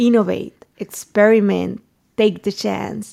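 A woman speaks with a Spanish accent. The recording is very clean, with a silent background. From Mexico. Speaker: journalist and news startup founder. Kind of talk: interview conversation.

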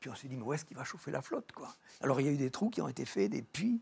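Fairly high in pitch, a man's voice carries vocal fry. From rural France. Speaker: doctor and explorer. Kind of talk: TV talk show interview.

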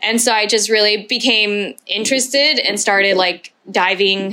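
A woman with an American accent in a normal speaking voice, medium in pitch, with fairly even intonation at a moderate pace. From Houston, Texas, US. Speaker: chef and food pop-up founder. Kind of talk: casual interview chat.

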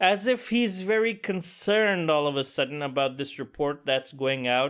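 The recording is very clean, with a silent background. A man speaks in an animated tone, his pitch swinging very widely. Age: 40s. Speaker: podcast host. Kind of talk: casual monologue.

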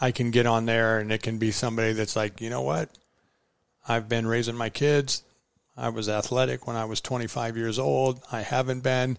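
This man has an American accent and an ordinary speaking voice. His pitch is medium, his intonation fairly even, and his pace moderate. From Iowa. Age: 50s. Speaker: endurance fat-bike racer. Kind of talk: casual chat. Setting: home kitchen.

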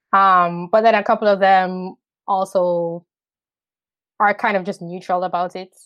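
In a Jamaican accent, a woman speaks at a fairly slow pace in a flat monotone, with long, frequent pauses and a quiet background. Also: medium pitch for a woman. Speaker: YouTube commentator. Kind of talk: casual interview.

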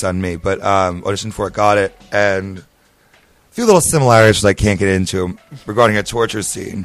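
Here a man with a plain, everyday voice speaks at a fairly quick pace, fairly low in pitch and with fairly even intonation. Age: 20s. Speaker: actor and drag performer. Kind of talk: casual chat.

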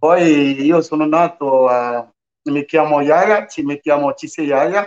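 This man's fairly high voice shows ordinary pitch variation while he talks at a very slow pace. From northern Ivory Coast. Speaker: migrant sharing life story. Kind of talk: radio interview, testimony. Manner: halting.

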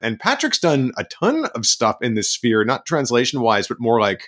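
In an American accent, a man with an unremarkable speaking voice talks at a medium pitch and moderate pace, with ordinary pitch variation and a dry, close sound with no echo. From US East Coast (Maryland, DC suburbs). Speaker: author and translator. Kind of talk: casual chat. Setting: video call.

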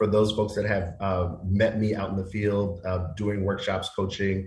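This man's voice sits fairly low and sounds somewhat breathy. He keeps a moderate pace. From Queens, New York City. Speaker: nonprofit executive director, guest. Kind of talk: teacher voice, well rehearsed. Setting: radio talk show interview.

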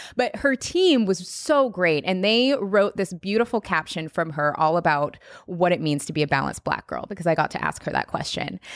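In a normal speaking voice, a woman talks at a moderate pace with hardly any pauses. Her intonation is lively. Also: medium pitch for a woman. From US Pacific Northwest, Seattle. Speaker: podcast host and former personal trainer. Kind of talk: interview.

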